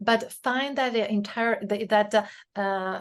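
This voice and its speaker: A woman speaks with a Spanish accent at medium pitch. The background is quiet. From Spain. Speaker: author and leadership consultant. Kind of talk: interview conversation. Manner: hesitant, many fillers.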